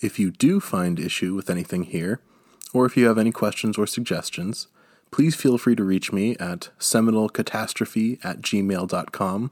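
A man with an American accent and a normal speaking voice talks at a moderate pace in a fairly low pitch, with ordinary pitch variation, in a very clean recording with a silent background. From United States. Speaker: history podcast host. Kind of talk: scripted narration. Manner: formal.

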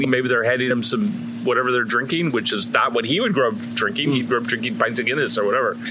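A man's voice swings very widely in pitch, with audible room echo and noticeable background noise. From US Midwest, north side of Chicago. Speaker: Irish fiddle player and music teacher. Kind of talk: casual chat.

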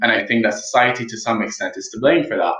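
Audible room echo fills the recording. The speaker is a man. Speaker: youth health advocate. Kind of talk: interview.

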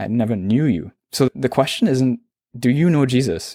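A man with a Trinidadian accent, medium pitch, ordinary pitch variation and a dark, mellow tone, at a moderate pace, in a dry, close sound with no echo on a very clean recording with a silent background. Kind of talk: testimony.

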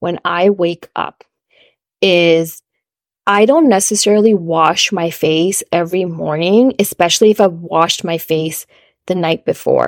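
A woman speaks in a plain, everyday voice at medium pitch, with ordinary pitch variation and a fairly slow pace, on a very clean recording with a silent background and a dry, close sound with no echo. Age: 30s. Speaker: podcast host. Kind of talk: solo podcast monologue.

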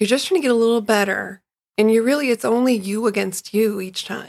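A woman's normal speaking voice, fairly high in pitch, with ordinary pitch variation and an American accent. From Chicago. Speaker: runner, guest host. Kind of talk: casual chat.

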